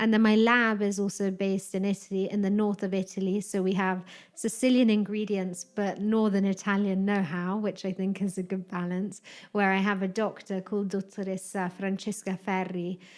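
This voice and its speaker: A woman with a British accent talks at a moderate pace and a medium pitch, her intonation flat and monotone. The recording is very clean, with a silent background. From UK. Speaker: hotel wellness director. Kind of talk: casual interview.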